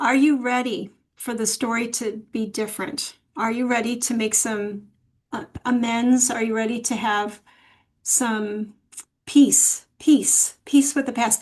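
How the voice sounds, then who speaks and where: This woman has an ordinary speaking voice with a fairly high pitch. She talks at a fairly slow pace with fairly even intonation. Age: 60s. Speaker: podcast guest. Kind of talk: interview.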